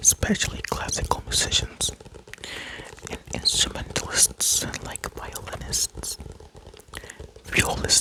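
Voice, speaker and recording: A man whispers at a very slow pace, with long, frequent pauses. Noticeable background noise sits behind him. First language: not English. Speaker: ASMR creator. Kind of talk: ASMR show-and-tell. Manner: soft-spoken.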